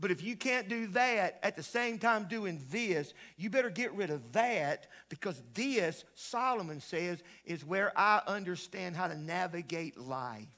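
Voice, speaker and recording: A man with a Southern US accent, high-pitched with a bright, sharp tone, raised and projected, fairly slow and lively in intonation. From US South, upstate South Carolina (Greenville/Pickens). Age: 60s. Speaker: pastor, guest revival preacher. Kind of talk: sermon. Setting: church with congregation.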